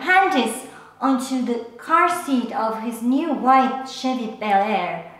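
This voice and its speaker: A woman at a high pitch and very slow pace, with audible room echo. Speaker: storyteller. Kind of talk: personal story monologue. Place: home room.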